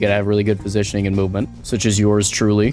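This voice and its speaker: A man talks at a very fast pace in a fairly low voice, with noticeable background noise. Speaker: gaming YouTuber. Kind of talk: gameplay commentary. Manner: animated.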